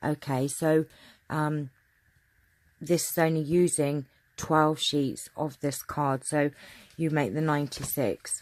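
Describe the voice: A woman speaks slowly in a low voice with fairly even intonation. She leaves long pauses often.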